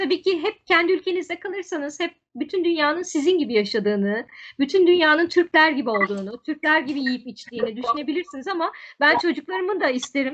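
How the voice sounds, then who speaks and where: Over light background noise, a woman with a high pitch talks at a fairly quick pace, her pitch swinging very widely. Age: 40s. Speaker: tour guide; interview guest. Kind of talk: interview conversation. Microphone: video call.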